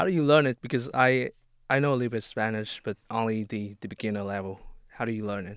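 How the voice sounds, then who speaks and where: A man with a Vietnamese accent speaks very fast at medium pitch with ordinary pitch variation, the sound dry and close with no echo. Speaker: student podcast co-host. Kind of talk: casual interview. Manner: halting, repeats words.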